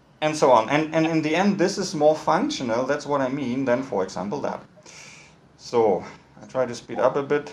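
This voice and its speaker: In a German accent, a man with a fairly high voice speaks with ordinary pitch variation and big swings in loudness, with audible room echo. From northern Germany, Hamburg. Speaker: architect and university lecturer. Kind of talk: lecture. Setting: video call. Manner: fast; halting, many repetitions and fillers. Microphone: poor audio quality.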